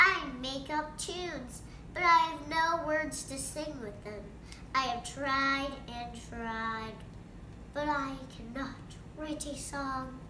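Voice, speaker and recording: A woman's put-on character voice, high in pitch, at a very slow pace over loud background noise. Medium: read story. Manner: eager, chatty.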